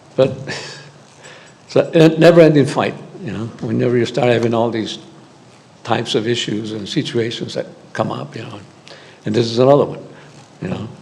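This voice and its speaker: With audible room echo and noticeable background noise, a man of medium pitch speaks at a fairly quick pace, showing ordinary pitch variation, big swings in loudness, and long, frequent pauses. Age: 70s. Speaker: public commenter at a school board meeting. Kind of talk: public comment. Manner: halting.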